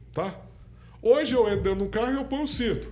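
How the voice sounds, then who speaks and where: A man speaks fairly quickly with lively intonation. Room echo can be heard. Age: 60s. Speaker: party president, businessman and lawyer. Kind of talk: podcast interview.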